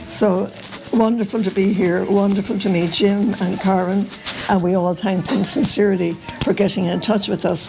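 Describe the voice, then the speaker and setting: In an Irish accent, a woman talks at a moderate pace with a medium pitch and fairly even intonation. Noticeable background noise runs behind her. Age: 80s+. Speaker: relative at a family reunion. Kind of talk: spoken family message. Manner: halting.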